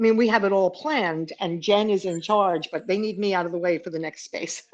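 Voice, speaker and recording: A woman's medium-pitched voice with a New York accent, a fairly quick pace and ordinary pitch variation. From New York City. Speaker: business productivity speaker. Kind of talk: casual interview chat. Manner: fast.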